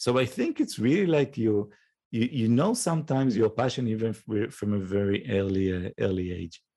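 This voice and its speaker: Lively intonation from a man with an Israeli accent, medium pitch, dark and mellow tone, fairly quick pace. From northern Israel. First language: Hebrew. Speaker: nonprofit CEO. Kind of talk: interview.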